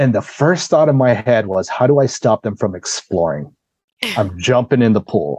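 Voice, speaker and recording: A man with a dark, mellow tone and vocal fry moves at a moderate pace through very wide pitch swings, recorded dry and close with no echo. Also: medium pitch for a man. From Laos. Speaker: guest storyteller. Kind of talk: casual storytelling interview. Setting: podcast recording. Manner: animated.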